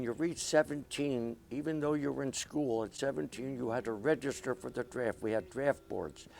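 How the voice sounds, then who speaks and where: On a very clean recording with a silent background, a man with a Philadelphia accent talks with hardly any pauses. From Philadelphia, Pennsylvania. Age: 80s+. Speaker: war veteran. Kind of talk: interview. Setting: studio. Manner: halting, many hesitations.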